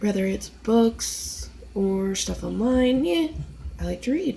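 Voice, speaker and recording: A woman talks against noticeable background noise. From US East Coast. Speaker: vlogger. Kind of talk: casual monologue. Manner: rambling, hesitant.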